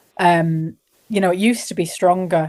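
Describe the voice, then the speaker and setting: Her voice is fairly low in pitch, and this woman has a dark, mellow tone. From northern England. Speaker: singer-songwriter. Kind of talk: casual interview chat.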